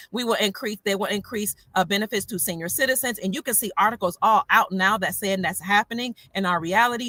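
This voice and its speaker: Speaking at a fairly quick pace, a woman uses a medium pitch. Her pitch variation is ordinary. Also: hardly any pauses. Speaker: online commentator. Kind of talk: casual livestream talk answering questions. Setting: in a parked car. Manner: fast.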